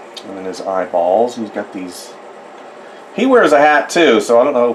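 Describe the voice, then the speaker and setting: Speaking at a moderate tempo, a man is heard with audible room echo and noticeable background noise. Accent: American. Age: 50s. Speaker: artist. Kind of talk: drawing tutorial. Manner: casual, rambling.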